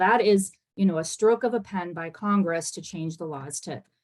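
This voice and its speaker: Her intonation lively, a woman speaks at a fairly quick pace with a medium pitch. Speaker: immigration policy panelist. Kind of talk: webinar panel talk. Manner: fast.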